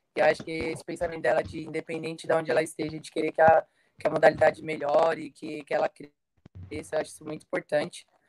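Very fast and in a monotone, flat intonation, a woman speaks at a very deep, low pitch with big swings in loudness, the sound dry and close with no echo. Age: 20s. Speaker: women's football player. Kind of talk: panel discussion on live stream.

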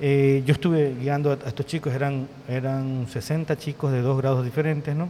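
A man's plain, everyday voice at a fairly high pitch, moving at a moderate pace. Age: 50s. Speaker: tourism professionals association president. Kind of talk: casual interview.

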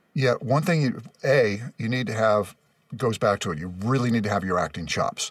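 A man speaks with a Californian accent at a medium pitch. His intonation is lively. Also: moderate pace. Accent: General American (Californian). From Los Angeles, West San Fernando Valley. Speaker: voice actor and announcer. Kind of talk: casual interview chat.

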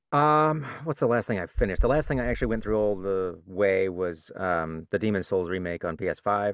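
A man's fairly low voice with lively intonation at a fairly quick pace. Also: very clean recording, silent background. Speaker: game developer and audiobook narrator. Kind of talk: casual chat.

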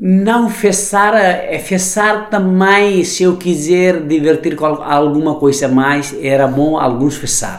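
Speech in a Nepali accent comes at a very slow pace with hardly any pauses and ordinary pitch variation, amid noticeable background noise and audible room echo. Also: man, high pitch for a man. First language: Nepali (speaking Portuguese). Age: 40s. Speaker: chef and restaurateur. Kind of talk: interview. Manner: halting.

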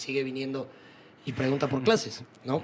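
A man is speaking. Background noise is noticeable. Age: 20s. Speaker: podcast host. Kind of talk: casual chat.

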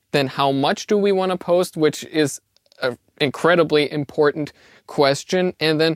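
In a German accent, a man talks at a fairly high pitch with ordinary pitch variation, the sound dry and close with no echo. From Austria. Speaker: co-host intern. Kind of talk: casual chat.

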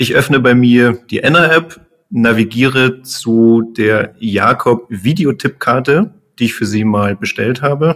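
Here a man speaks at a very slow pace. His pitch is medium, with ordinary variation. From Munich, Bavaria. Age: 30s. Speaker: engineer, startup founder. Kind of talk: podcast interview.

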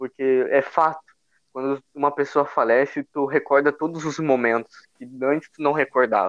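A man with a southern Brazilian accent, fairly high pitch and fairly even intonation, in a dry, close sound with no echo. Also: moderate pace. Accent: gaúcho Brazilian Portuguese. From southern Brazil, Rio Grande do Sul (São Leopoldo). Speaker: churchgoer sharing his faith story. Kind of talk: faith testimony in casual conversation.

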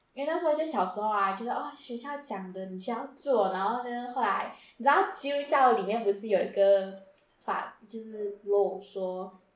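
In a room with audible echo, a woman with a fairly high voice talks at a moderate pace with lively intonation. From South Africa. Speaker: Taiwanese-South African student. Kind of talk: casual chat.

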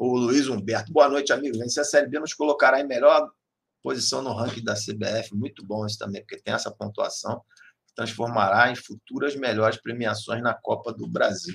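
A man speaks in an animated tone at a moderate pace. His loudness swings widely. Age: 40s. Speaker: sports radio host. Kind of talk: casual fan talk show.

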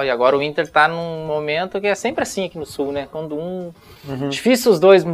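A man speaks in a normal speaking voice, fairly high in pitch. He moves at a fairly quick pace with ordinary pitch variation. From northern Paraná, Brazil. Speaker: retired footballer. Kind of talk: casual interview.

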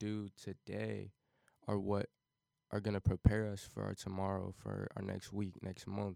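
A man with an American accent speaks at a fairly slow pace in a fairly low, dark, mellow voice with monotone, flat intonation, on a very clean recording with a silent background. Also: dry, close sound with no echo. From Cincinnati, Ohio, US Midwest. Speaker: college student and amateur music producer. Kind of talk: casual podcast interview. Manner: clear, unhesitating.

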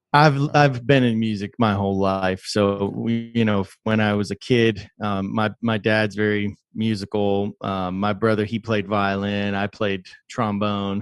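Against a quiet background, a man talks in an unremarkable speaking voice with hardly any pauses. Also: fairly low pitch for a man, fairly slow pace. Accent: American. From Texas, Houston. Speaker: web3 developer and musician. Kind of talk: casual interview.

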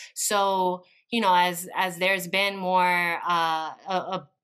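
This woman speaks at a medium pitch with fairly even intonation. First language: Spanish. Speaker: education policy advocate, former bilingual teacher. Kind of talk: interview conversation.

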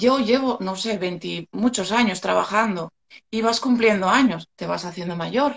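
A woman talks at a fairly slow pace with vocal fry. Her medium pitch has ordinary variation. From Asturias, Spain (Gijón). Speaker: beautician. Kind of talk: live stream interview. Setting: Instagram live video call.

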